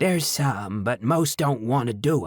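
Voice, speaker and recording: Putting on a croaky character voice, a man speaks at a medium pitch and a moderate pace. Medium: read story. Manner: blunt, curt.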